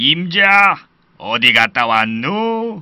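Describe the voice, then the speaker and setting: In a put-on character voice, a man speaks very slowly at a high pitch with very wide pitch swings, on a very clean recording with a silent background. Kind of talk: children's fairy tale acting. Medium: read story. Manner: folksy, exclamatory.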